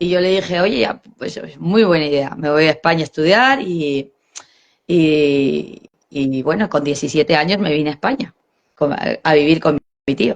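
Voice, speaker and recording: A woman with a very deep, low voice speaks at a moderate pace with ordinary pitch variation. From Chile, then Peru from age 10. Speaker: mother interviewed about multicultural family. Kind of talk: casual interview chat. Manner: animated, many false starts.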